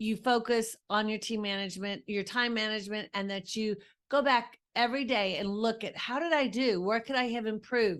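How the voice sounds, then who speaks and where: Over a quiet background, a woman with an unremarkable speaking voice talks at a moderate pace, fairly high in pitch with ordinary pitch variation. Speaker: podcast host and leadership coach for women. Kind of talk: podcast monologue on leadership.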